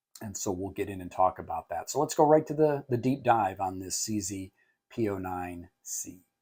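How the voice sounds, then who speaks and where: In a very clean recording with a silent background, a man speaks at a moderate pace. His fairly low voice has a dark, mellow tone and lively intonation. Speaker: firearms reviewer. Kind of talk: product review. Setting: indoor facility, no range. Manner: frequent filler 'uh'; casual, conversational.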